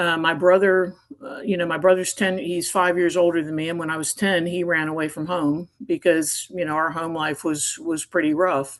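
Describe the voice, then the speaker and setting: A woman with an American accent has a normal speaking voice, fairly low in pitch. She keeps a moderate pace with hardly any pauses and fairly even intonation. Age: 50s. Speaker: retired navy officer. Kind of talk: interview testimony.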